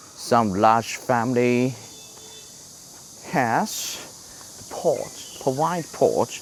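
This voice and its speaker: A man with a Chinese accent speaks very slowly at medium pitch, with ordinary pitch variation. Long, frequent pauses break up his speech over noticeable background noise. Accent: Chinese-accented English, imperfect. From China. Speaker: travel vlogger. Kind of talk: walking tour vlog. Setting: outdoors on a street. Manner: halting, many fillers and repeats.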